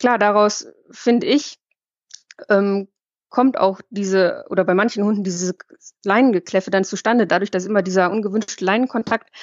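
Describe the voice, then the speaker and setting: The speaker is a woman with a normal speaking voice and fairly even intonation. Her medium pitch moves along at a fairly quick pace. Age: 30s. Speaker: dog blogger and pet photographer. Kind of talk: casual chat.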